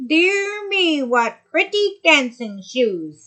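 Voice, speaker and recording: Using a put-on character voice, a woman speaks very slowly in a high pitch with very wide pitch swings. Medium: read story.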